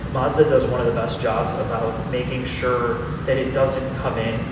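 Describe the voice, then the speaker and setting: A man talks at a moderate pace amid loud background noise. The room echo is audible. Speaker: guest. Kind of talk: interview answer. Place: hall. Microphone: camera far.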